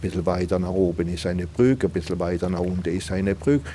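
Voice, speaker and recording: A man speaks in a very deep, low pitch and a dark, mellow tone. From Alsace, France. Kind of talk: interview.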